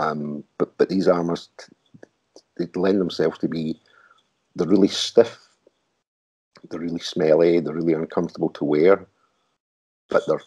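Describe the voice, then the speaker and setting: A man with a Glaswegian accent speaks in a very deep, low pitch and a dark, mellow tone, with monotone, flat intonation. Long, frequent pauses break up his speech, and the sound is dry and close with no echo. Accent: Glaswegian Scottish. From Glasgow, Scotland. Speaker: artist and technical wear designer. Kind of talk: interview answer.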